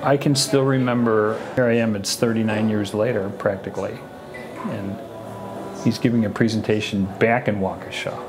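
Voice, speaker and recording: The speaker talks at a moderate pace. Music plays in the background. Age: 60s. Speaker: parent of the doctor. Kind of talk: documentary interview.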